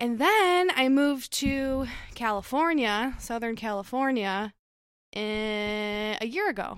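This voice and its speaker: A woman talks at a very slow pace with lively intonation. The recording is very clean, the background silent. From Michigan, US (Detroit suburbs). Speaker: graphic designer. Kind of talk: casual chat.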